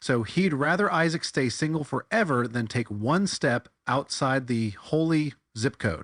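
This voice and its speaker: An unremarkable speaking voice from a man, fairly high in pitch, fairly slow with hardly any pauses, lively in intonation, very even in loudness, with a dry, close sound and no echo. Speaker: satirical bible commentator. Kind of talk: comedic commentary monologue. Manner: sarcastic.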